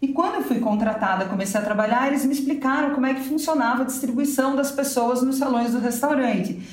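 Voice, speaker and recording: A woman talks very fast in a high pitch with hardly any pauses, her voice carrying audible room echo over noticeable background noise. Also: ordinary pitch variation. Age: 40s. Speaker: novelist. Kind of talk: casual interview.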